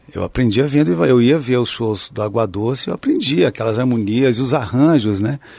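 A man's plain, everyday voice at medium pitch and a moderate pace, with hardly any pauses and ordinary pitch variation. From southern Minas Gerais, Brazil (Pouso Alegre). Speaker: guitarist and composer. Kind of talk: interview.

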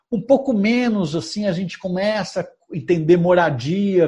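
Lively in intonation, a man speaks in a high pitch with a dark, mellow tone. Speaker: journalist and author. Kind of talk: interview.

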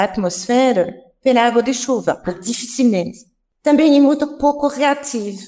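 A woman talks in a high pitch at a moderate pace. Her pitch varies in an ordinary way. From France. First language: French (speaking Portuguese). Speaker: chemistry professor. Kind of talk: radio interview. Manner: halting.

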